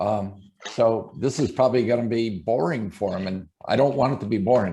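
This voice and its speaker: In an American accent, an ordinary speaking voice moves at a moderate pace. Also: man, medium pitch for a man, ordinary pitch variation. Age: 60s. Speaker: shower door business owner. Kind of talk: talk on a live stream. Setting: video live stream.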